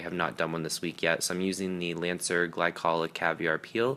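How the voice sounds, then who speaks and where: A man's very deep, low voice with a bright, sharp tone, on a very clean recording with a silent background. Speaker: beauty vlogger. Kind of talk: tutorial voiceover. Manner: fast; casual, filler-heavy.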